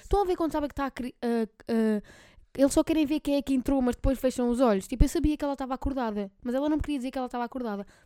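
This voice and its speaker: At a very fast pace, the voice has a dark, mellow tone and ordinary pitch variation, with a dry, close sound with no echo on a very clean recording with a silent background. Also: woman. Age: 20s. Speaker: podcast host. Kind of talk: casual chat.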